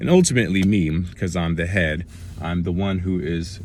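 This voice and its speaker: There is audible room echo around a man's very deep, low voice. He talks at a fairly quick pace with fairly even intonation. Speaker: motivational vlogger. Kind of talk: casual talk to camera.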